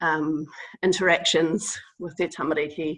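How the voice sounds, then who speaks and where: A woman with a New Zealand accent, fairly low in pitch, with fairly even intonation against a quiet background. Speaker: public health innovation team member. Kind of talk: webinar presentation. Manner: hesitant, many fillers.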